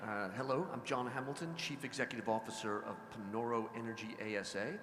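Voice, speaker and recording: With an American accent, a man talks at a fairly quick pace and medium pitch, with audible room echo and noticeable background noise. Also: ordinary pitch variation. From US, Washington DC. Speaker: oil company executive. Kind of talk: panel discussion.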